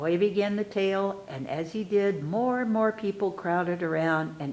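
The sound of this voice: Ordinary pitch variation in an unforced voice for reading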